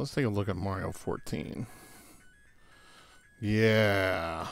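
Music plays in the background as a man speaks. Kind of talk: casual gadget review to camera. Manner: dry, sarcastic.

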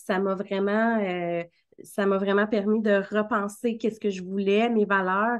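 Speaking fairly slowly with a Quebec accent, a woman keeps her intonation monotone and flat. Her loudness stays very even against a quiet background. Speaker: marketing coach and podcast host; marketing coach, podcast host. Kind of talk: casual interview. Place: home room. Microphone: video call.

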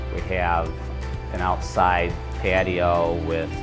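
A man is talking. Clear music plays in the background. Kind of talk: interview answer. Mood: warm, proud. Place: hall. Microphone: lapel.

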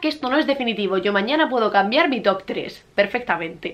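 A woman speaks at a very fast pace with lively intonation. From Murcia, Spain. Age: 20s. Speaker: book YouTuber. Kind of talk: casual talk to camera. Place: home room. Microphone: camera far.

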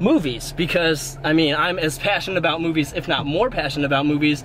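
Recorded dry with no echo and light background noise, a man talks at a fairly quick pace with fairly even intonation. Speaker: fitness vlogger. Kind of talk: casual vlog chat. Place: car. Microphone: phone near.

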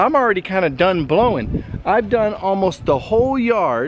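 Light background noise sits under a man speaking at a fairly slow pace with lively intonation, in a dry sound with no echo. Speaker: product reviewer. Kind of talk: casual vlog chat. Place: garden. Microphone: phone near.

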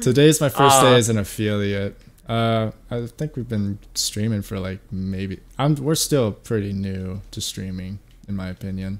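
With a plain, everyday voice, a man speaks at a fairly slow pace, his loudness swinging widely. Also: fairly low pitch for a man, ordinary pitch variation. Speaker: streamer. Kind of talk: casual gamer slang. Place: home room. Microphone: headset.

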